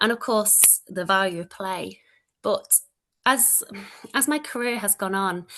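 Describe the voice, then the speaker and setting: A woman speaks with a Manchester accent at a fairly slow pace, leaving long, frequent pauses. Her tone is bright and sharp, her pitch fairly high, with ordinary pitch variation. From northern England, Manchester. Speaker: early childhood education lecturer. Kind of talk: presentation. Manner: loud.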